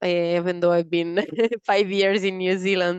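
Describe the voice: A woman speaks at a moderate pace in a clear, smooth tone. The sound is dry and close, with no echo.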